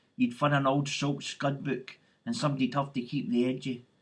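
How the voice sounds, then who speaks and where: Here a man speaks at a moderate pace. His voice is somewhat breathy. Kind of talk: poetry reading.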